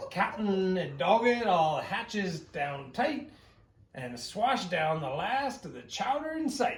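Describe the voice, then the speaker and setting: A man uses a put-on character voice with very wide pitch swings. He speaks at a fairly slow pace. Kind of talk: rhyming bedtime story, pirate style. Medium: read story. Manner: hearty, chuckling.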